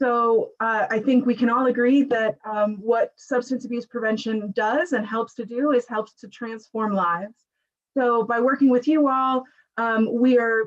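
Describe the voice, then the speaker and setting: A woman speaks fairly slowly in an unremarkable speaking voice. Her pitch is fairly high and her intonation fairly even. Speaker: state program manager presenting at a meeting. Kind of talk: webinar presentation. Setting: online webinar.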